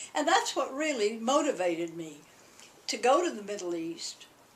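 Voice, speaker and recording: At a moderate pace, a woman with a Southern US accent speaks with very wide pitch swings over noticeable background noise. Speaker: alumna. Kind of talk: oral history interview. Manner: halting.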